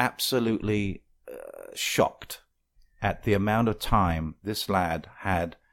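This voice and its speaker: On a very clean recording with a silent background, a man with an English accent speaks at a fairly slow pace in a fairly low voice with ordinary pitch variation. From England. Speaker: radio host. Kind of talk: talk radio.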